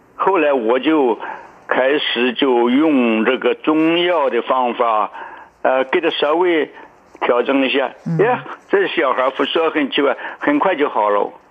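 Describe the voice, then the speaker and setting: Noticeable background noise sits behind a male speaker. He talks at a very slow pace. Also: ordinary pitch variation, very even loudness. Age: 80s. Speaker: Chinese medicine doctor. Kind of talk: radio interview. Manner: halting, many fillers.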